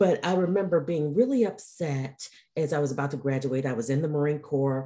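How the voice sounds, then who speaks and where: Here a woman talks at a moderate pace with an American accent. Her tone is dark and mellow. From Detroit, US Midwest. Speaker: burnout expert and coach. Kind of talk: interview chat.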